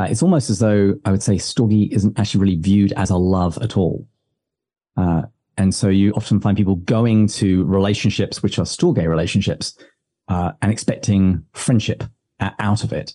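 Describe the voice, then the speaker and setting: A man's fairly low, dark, mellow voice with an English accent, moderate pace and fairly even intonation over a quiet background. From England, village. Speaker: podcast host, writer on religion. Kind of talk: interview answering.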